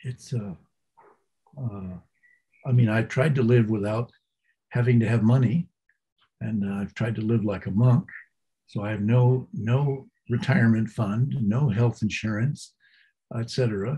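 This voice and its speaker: Using an American accent, a man speaks at a medium pitch with a dark, mellow tone that is somewhat breathy. His pace is fairly slow, with ordinary pitch variation and long, frequent pauses. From New England, US. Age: 80s+. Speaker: Zen teacher. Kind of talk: interview. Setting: podcast. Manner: halting.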